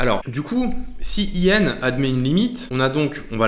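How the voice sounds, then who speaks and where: A man talks at a fairly slow pace. Room echo is audible around him. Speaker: maths teacher on video channel. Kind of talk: tutorial. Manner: halting.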